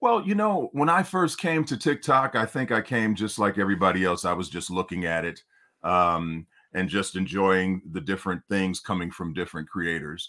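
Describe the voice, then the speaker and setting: Speaking at a moderate pace in an American accent, a man uses a very deep, low pitch, lively intonation and a bright, sharp tone on a very clean recording with a silent background. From Detroit, Michigan. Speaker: singer. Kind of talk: interview.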